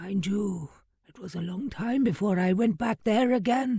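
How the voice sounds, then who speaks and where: Pitched fairly high, this put-on character voice comes out raspy. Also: moderate pace. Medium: read story. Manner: grave, measured storyteller.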